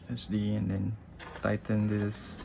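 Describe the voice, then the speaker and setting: A man speaks with a non-native accent. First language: not English. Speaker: tech YouTuber. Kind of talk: unscripted unboxing tutorial. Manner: halting, hesitant.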